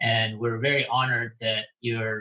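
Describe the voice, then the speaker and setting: The tone is bright and sharp, and the intonation is flat and monotone. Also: man. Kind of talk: casual interview.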